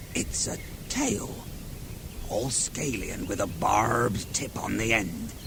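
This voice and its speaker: A put-on character voice, low-pitched and fairly slow, with long, frequent pauses over loud background noise. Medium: audio drama. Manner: whining, excitable.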